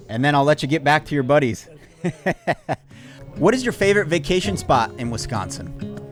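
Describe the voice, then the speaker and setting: With music in the background, a man at a fairly high pitch moves at a fairly quick pace through very wide pitch swings and long, frequent pauses. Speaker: podcast host. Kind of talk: interview questions.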